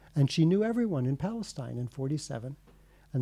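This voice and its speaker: Talking at a very fast pace, a man with an American accent uses lively intonation at a medium pitch. His tone is dark and mellow, and somewhat breathy. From United States. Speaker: author. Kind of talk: interview.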